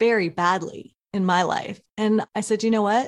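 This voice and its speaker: Here a woman speaks in a normal speaking voice with an American accent, her pitch fairly high. Her pace is fairly slow on a very clean recording with a silent background. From Oklahoma. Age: 40s. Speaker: tech entrepreneur. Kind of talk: interview.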